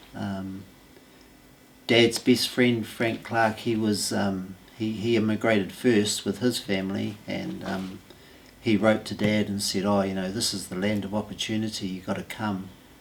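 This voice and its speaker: A man with a New Zealand accent speaks at a fairly low pitch and a fairly slow pace. His delivery is monotone and flat, with noticeable background noise. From New Zealand, Masterton. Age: 60s. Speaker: local resident. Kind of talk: interview testimony. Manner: hesitant, many fillers.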